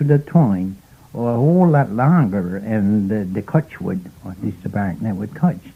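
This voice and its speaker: Very slowly, a man speaks in a dark, mellow tone with very wide pitch swings. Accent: Newfoundland. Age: 80s+. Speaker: fisherman. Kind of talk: interview answer.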